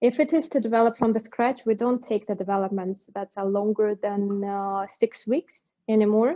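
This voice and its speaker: The speaker has a non-native accent and ordinary pitch variation. Delivery runs at a moderate pace with hardly any pauses. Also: woman, fairly high pitch for a woman. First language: not English. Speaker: bridging technology company executive. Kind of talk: webinar Q&A. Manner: halting.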